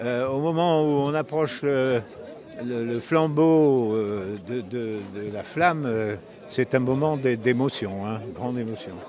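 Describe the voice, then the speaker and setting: Noticeable background noise and audible room echo surround a man who speaks very slowly in a medium pitch with ordinary pitch variation. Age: 90s. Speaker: retired Olympic fencer. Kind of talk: interview. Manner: halting, many hesitations.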